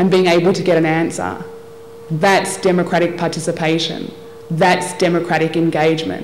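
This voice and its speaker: With an Australian accent, a woman talks fairly quickly in a fairly low pitch over noticeable background noise and audible room echo. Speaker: development specialist and lawyer. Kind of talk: formal speech. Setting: workshop audience at convention centre.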